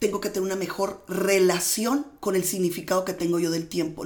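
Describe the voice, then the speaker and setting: A woman talks at a fairly quick pace over noticeable background noise, with audible room echo. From Mexicali, Baja California, Mexico. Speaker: manifestation and mindset coach. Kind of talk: interview.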